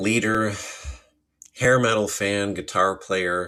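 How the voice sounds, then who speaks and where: Very deep and low in pitch, a man speaks with an American accent. His intonation is fairly even. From US Midwest, Chicago suburbs. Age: 50s. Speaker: podcast host and self-published author. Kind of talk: casual monologue. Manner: conversational.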